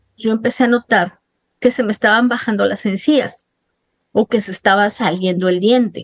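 An unremarkable speaking voice from a woman, fairly high in pitch with ordinary pitch variation, at a moderate pace, in a dry, close sound with no echo. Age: 50s. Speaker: journalist sharing her dental ordeal. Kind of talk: interview testimony.

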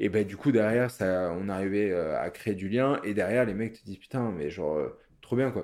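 Here a man speaks at a fairly low pitch and a moderate pace. His pitch varies in an ordinary way. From Paris, France. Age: 30s. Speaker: butcher. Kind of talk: interview. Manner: hesitant, many fillers.

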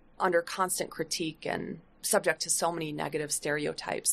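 This woman speaks with an American accent. Her pace is moderate. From US Midwest, Flint, Michigan. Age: 60s. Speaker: sociology professor. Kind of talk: podcast interview.

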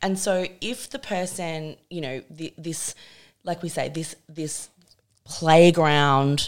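A woman with an Australian accent and a very deep, low pitch, ordinary pitch variation, on a very clean recording with a silent background. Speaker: feminist writer and podcast host. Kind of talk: casual chat.

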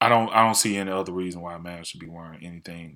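A man with a very deep, low pitch and a bright, sharp tone speaks very fast with fairly even intonation on a very clean recording with a silent background. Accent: Southern US. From US South. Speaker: podcast co-host. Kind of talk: casual chat.

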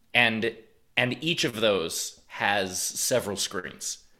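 Bright and sharp in tone, a man's fairly low voice moves with ordinary pitch variation. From New York City. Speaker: stand-up comedian. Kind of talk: casual interview chat.

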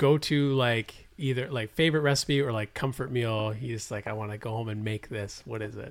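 Talking at a fairly quick pace with hardly any pauses, a man speaks at a medium pitch with ordinary pitch variation. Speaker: podcast host. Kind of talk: casual chat. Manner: animated.

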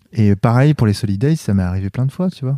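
This man talks very fast in a dark, mellow tone. The sound is dry and close, with no echo. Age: 30s. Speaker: music producer and therapist. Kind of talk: casual interview.

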